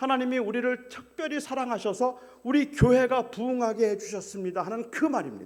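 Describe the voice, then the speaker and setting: A man's extremely high voice at a fairly quick pace. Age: 60s. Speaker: guest pastor. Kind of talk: sermon.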